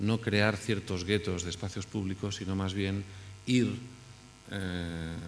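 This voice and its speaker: There is audible room echo as a man speaks at a fairly low pitch and a fairly slow pace. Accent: Spanish. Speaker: architect. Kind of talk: conference talk. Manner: halting, many fillers and restarts.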